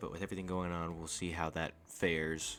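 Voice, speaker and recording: A soft-spoken man's very deep, low voice, flat and monotone, at a moderate pace. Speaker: gaming youtuber. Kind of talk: casual video commentary. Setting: at home at night, keeping quiet. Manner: quiet, speaking softly at night; casual, conversational.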